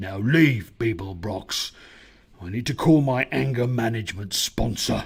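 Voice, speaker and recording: A man speaks in a put-on character voice at a moderate pace. It growls and rumbles at a medium pitch. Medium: read story. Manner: gruff, sullen.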